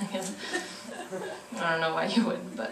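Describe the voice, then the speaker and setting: Against noticeable background noise, a woman delivers her words with lively intonation. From Korean American. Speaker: performance poet. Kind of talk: casual stage banter to a live audience. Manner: energetic, excited.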